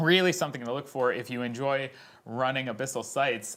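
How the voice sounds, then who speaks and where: This man has a Canadian accent and a medium pitch. He talks at a fairly quick pace. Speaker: esports tournament host. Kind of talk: live stream interview.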